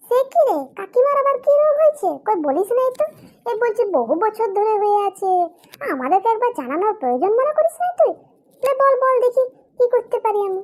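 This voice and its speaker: In a put-on character voice, a woman speaks squeaky and extremely high in pitch, with very wide pitch swings at a fairly quick pace. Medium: comedy sketch. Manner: quick, teasing.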